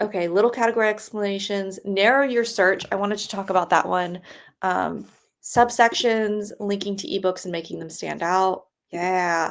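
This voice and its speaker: In a very clean recording with a silent background, a woman with a normal speaking voice talks at a moderate pace and medium pitch, with fairly even intonation but big swings in loudness. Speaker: web designer co-host of a live stream. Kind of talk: live stream screen-share walkthrough. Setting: live stream. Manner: casual, filler-heavy.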